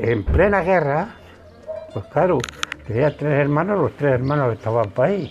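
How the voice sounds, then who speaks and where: Over noticeable background noise, a man with a fairly high pitch speaks at a fairly slow pace with lively intonation. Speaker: elderly interviewee, war witness.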